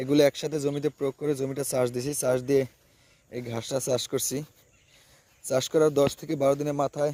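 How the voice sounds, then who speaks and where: A man's fairly high-pitched voice, dark and mellow in tone, with monotone, flat intonation and a dry, close sound lacking any echo. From Bangladesh, Barisal. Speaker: grass farmer and seller. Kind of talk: farming tutorial with sales pitch.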